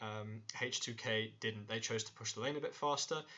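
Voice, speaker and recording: The speaker is a man with a medium-pitched voice. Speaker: esports analyst. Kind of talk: tutorial. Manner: fast.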